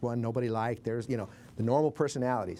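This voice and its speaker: A man with an American accent, medium pitch and dark, mellow tone, talking at a very fast pace with fairly even intonation. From Billings, Montana. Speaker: war veteran, former army medic. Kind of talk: interview answer.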